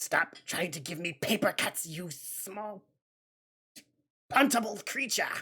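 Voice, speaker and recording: The put-on character voice is guttural and strained, sitting at a middle pitch and moving at a fairly slow pace with long, frequent pauses. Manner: snarling, disdainful.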